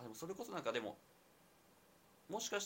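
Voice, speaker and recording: A man speaks with vocal fry, his pitch swinging very widely. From Nagoya, Japan. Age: 20s. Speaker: university student and startup co-founder. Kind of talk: casual chat. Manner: hesitant, many fillers.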